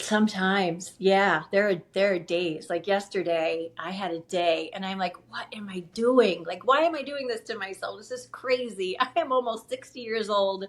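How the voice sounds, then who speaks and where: A woman speaks at a moderate pace and medium pitch, with ordinary pitch variation. Her loudness swings widely, and there are hardly any pauses. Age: 50s. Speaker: store owner. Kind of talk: casual chat. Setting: video call. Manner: animated.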